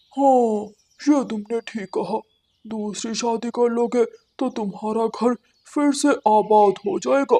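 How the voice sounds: This is a cartoonish character voice with a fairly high pitch. It moves at a fairly slow pace.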